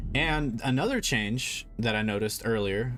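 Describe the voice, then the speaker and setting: Music sounds in the background while a man talks at a fairly low pitch. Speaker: video game streamer. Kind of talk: live gameplay stream commentary. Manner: halting, many fillers and restarts.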